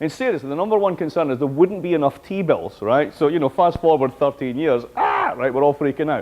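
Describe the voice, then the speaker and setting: A man's animated, fairly high voice with a Scottish accent, lively intonation and a fairly quick pace. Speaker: professor. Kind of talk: lecture.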